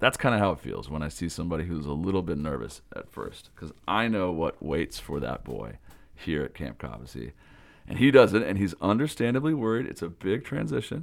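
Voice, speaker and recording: A man with an American accent talks at a fairly quick pace, his very deep, low pitch swinging very widely and dipping into vocal fry. The recording is very clean, with a silent background. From US Pacific Northwest (Pullman, Washington). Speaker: summer camp director and podcast host. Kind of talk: podcast monologue report. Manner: loud.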